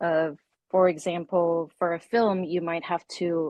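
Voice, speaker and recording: This woman's delivery moves at a fairly slow pace. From South Korea. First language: Korean. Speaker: freelance illustrator and designer. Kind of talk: interview.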